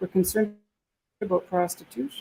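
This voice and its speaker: A woman with a Canadian accent speaks very fast at a medium pitch. Vocal fry runs through her voice. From Canada. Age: 70s. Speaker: communication consultant. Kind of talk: panel discussion.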